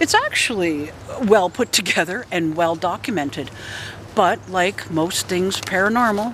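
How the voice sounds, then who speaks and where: There is noticeable background noise in the clip. The talking unfolds fairly slowly. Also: woman. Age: 60s. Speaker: paranormal investigator and video blogger. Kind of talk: casual vlog monologue.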